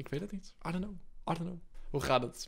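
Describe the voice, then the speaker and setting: The speaker is a man. His tone is bright and sharp. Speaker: streamer. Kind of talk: casual livestream chat with fans. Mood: relaxed, playful, laughing. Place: home room. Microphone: studio mic.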